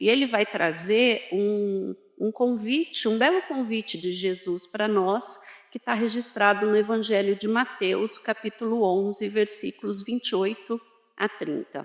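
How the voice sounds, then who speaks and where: Soft-spoken and fairly slow, the voice moves with ordinary pitch variation. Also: woman, fairly high pitch for a woman. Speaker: spiritist lecturer. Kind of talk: lecture. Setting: hall with audience.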